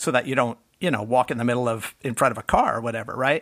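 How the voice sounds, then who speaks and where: A slight New York accent on a very clean recording with a silent background. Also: man. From Bronx, New York. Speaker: tech writer. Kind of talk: casual chat.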